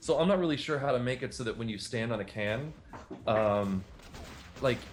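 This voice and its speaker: A man talks at a fairly quick pace in a medium pitch with ordinary pitch variation. Background noise is noticeable. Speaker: game developer and animator. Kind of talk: casual chat.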